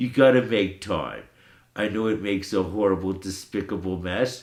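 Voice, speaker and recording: With an ordinary speaking voice, a man talks at a moderate pace and fairly low pitch, keeping his intonation fairly even. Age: 60s. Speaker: podcast host. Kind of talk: personal monologue. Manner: casual.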